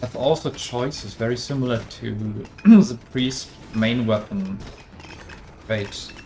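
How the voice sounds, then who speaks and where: Speaking at a fairly slow pace with long, frequent pauses, the voice has a German accent over noticeable background noise. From Germany. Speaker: game developer. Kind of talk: live stream Q&A. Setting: live stream. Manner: halting.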